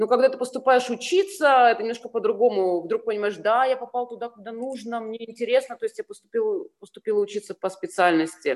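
A woman's fairly high voice swings very widely in pitch and greatly in loudness. She keeps a moderate pace. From Ukraine (Sevastopol, Crimea). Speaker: fashion designer. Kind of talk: casual interview.

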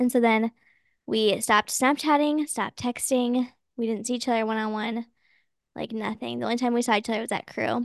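With an American accent, a woman talks at a fairly quick pace and fairly high pitch in a monotone, flat way, the sound dry and close with no echo against a quiet background. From Minnesota and Texas. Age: 20s. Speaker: grad student. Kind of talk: casual chat.

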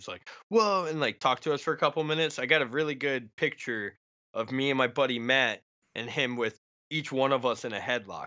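A man's plain, everyday voice at a medium pitch and a fairly quick pace. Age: 30s. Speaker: horror film writer and podcaster. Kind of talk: casual chat.

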